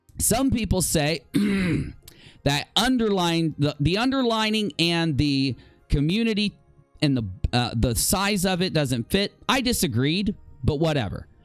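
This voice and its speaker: A high-pitched man at a fairly slow pace, with very wide pitch swings, very even loudness and long, frequent pauses, over music in the background. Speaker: YouTube commentary show host. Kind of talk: live stream commentary.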